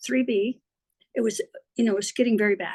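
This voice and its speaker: A woman speaks at a fairly quick pace in a fairly high, somewhat breathy voice. Her pitch varies in an ordinary way, and the sound is dry and close with no echo. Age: 70s. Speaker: customer giving a product testimonial. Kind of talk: testimony. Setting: video call. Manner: halting.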